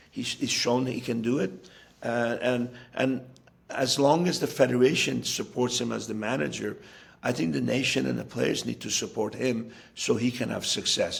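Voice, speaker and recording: A man with an American accent speaks at a medium pitch with vocal fry and ordinary pitch variation. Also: moderate pace. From US (raised from childhood, Iranian-born). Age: 60s. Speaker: football coach. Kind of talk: interview. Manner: halting with fillers and repetitions.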